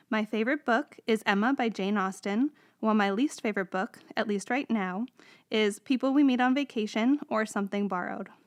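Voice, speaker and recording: In a normal speaking voice with an American accent, a woman talks at a fairly quick pace, captured dry and close with no echo on a very clean recording with a silent background. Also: fairly high pitch for a woman, ordinary pitch variation. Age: 30s. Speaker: librarian, podcast co-host. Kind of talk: scripted self-introduction.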